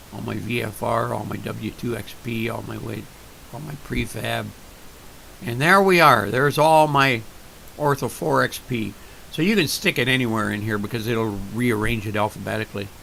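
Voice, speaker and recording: Ordinary pitch variation and big swings in loudness, with noticeable background noise. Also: man, medium pitch for a man. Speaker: flight sim tutorial maker. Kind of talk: screen-recorded tutorial. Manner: slow, deliberate; hesitant, with fillers.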